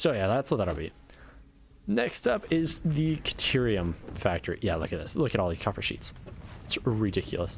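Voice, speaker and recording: A man at medium pitch and moderate pace, with very wide pitch swings and music in the background. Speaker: gaming YouTuber. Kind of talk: let's play commentary. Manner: casual, rambling with self-corrections.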